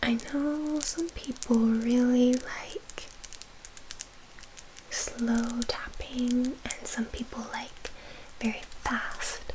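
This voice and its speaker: A soft-spoken woman with a high pitch and a gentle tone speaks very slowly, leaving long, frequent pauses, over noticeable background noise. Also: fairly even intonation. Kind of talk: ASMR soft-spoken chatting to camera. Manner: soft-spoken, gentle.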